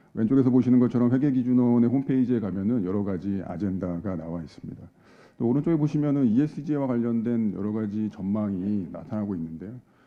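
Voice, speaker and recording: A man's medium-pitched voice at a very fast pace, with audible room echo. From South Korea. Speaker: accounting advisory head, seminar speaker. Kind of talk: conference presentation. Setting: conference hall with audience. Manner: formal, with frequent filler hesitations.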